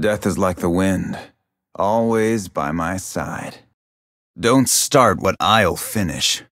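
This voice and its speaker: In a put-on character voice, a man talks very slowly at a fairly low pitch with ordinary pitch variation and long, frequent pauses, on a very clean recording with a silent background. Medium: video game voice lines. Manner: stoic, brooding.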